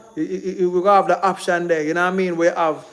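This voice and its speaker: Noticeable background noise sits behind the speaker. He is a man with a high pitch. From Jamaica. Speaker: Jamaican film producer and livestream host. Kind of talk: casual livestream talk. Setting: live stream. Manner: fast; animated.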